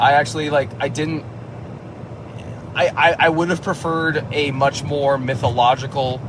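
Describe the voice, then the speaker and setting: A man's medium-pitched voice at a fairly slow pace, with noticeable background noise. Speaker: movie reviewer. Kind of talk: casual monologue. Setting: in a car. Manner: halting, many fillers and restarts.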